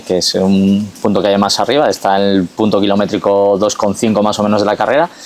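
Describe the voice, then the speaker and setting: Here is a man with a fairly low voice. Noticeable background noise sits behind him. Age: 40s. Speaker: trail race organizer, former footballer. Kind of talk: podcast interview. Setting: outdoors on a mountain rock.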